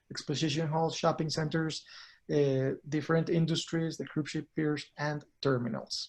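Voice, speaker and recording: A fairly high-pitched man with a Spanish accent speaks fairly quickly in a flat monotone. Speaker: cruise industry consultant. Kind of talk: product presentation.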